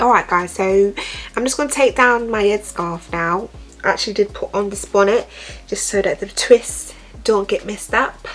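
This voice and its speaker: A female-sounding put-on character voice, raspy and medium-pitched, speaks at a moderate pace over clear background noise. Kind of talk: tutorial. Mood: relaxed, friendly.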